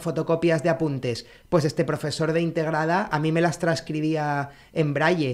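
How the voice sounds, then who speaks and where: In a very clean recording with a silent background, a man speaks at a moderate pace in a fairly high pitch and a monotone, flat intonation. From Canary Islands (Tenerife). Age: 40s. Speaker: blind co-founder of a sneaker brand. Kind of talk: interview, casual chat.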